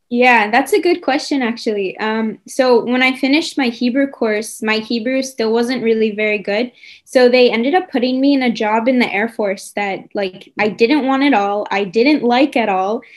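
A woman with a New York accent talks in a high voice with ordinary pitch variation. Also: moderate pace, hardly any pauses. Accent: American, New York. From US, New York. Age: 20s. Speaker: soldier. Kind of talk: interview. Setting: video call.

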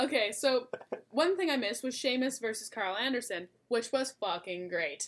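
Delivery is animated, with lively intonation at a moderate pace. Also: woman, high pitch for a woman. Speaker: wrestling podcast co-host. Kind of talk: casual chat.

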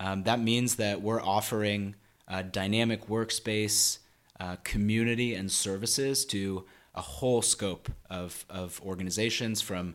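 Fairly even intonation and a fairly slow pace come through on a very clean recording with a silent background. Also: man. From US Northwest, Seattle. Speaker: sales lead at a coworking company. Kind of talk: interview. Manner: halting, many fillers.

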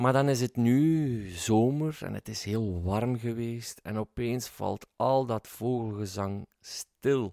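Very slow speech from a man with a dark, mellow tone, medium pitch and ordinary pitch variation, dry and close with no echo, in a very clean recording against a silent background. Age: 40s. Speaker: podcast host. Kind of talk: podcast intro monologue; interview. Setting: garden.

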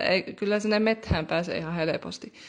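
With an ordinary speaking voice, a woman talks at a moderate pace and fairly even intonation against a quiet background. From Rovaniemi, Finnish Lapland. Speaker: young guest. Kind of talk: casual chat. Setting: remote recording.

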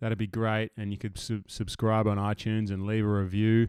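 A man talks at a moderate pace and medium pitch, in an ordinary speaking voice. The sound is dry and close with no echo, on a very clean recording with a silent background. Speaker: podcast host. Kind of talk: casual interview chat.

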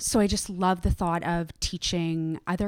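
This woman has an unremarkable speaking voice, a fairly low pitch, and a Canadian accent. She talks at a moderate pace with fairly even intonation on a very clean recording with a silent background. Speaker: yoga instructor and founder. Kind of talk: casual interview chat.

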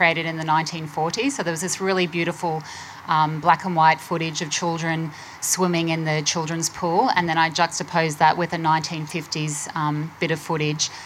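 Against noticeable background noise, a woman with an Australian accent speaks at a moderate pace in a fairly low voice with monotone, flat intonation. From Queensland, Australia. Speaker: artist. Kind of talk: panel discussion.

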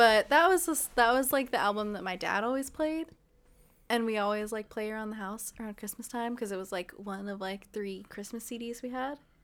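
With an American accent and an ordinary speaking voice, a woman talks at a fairly quick pace in a fairly high pitch, with ordinary pitch variation and big swings in loudness. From Ontario, California (Inland Empire). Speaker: podcast co-host. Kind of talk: casual chat.

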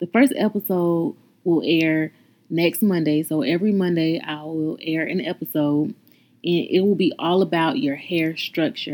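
A woman talks at a fairly low pitch and a fairly slow pace, with ordinary pitch variation, in an unremarkable speaking voice. The recording is very clean, with a silent background. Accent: American. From North Carolina. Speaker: podcast host and natural hairstylist. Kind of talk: podcast intro monologue.

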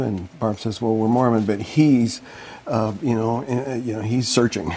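A medium-pitched man with an American accent at a moderate pace, over noticeable background noise. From Colorado, Boulder. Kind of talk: interview testimony. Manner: halting.

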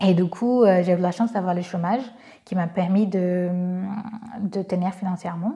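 Somewhat breathy, a woman speaks at a moderate pace. Her medium pitch holds fairly even intonation. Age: 20s. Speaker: social entrepreneur. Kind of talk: testimony. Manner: hesitant, many fillers.

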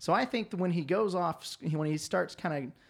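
On a very clean recording with a silent background, a man with a Southern US accent speaks at a fairly quick pace with lively intonation. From US South. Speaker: podcast guest. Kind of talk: casual chat. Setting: studio.

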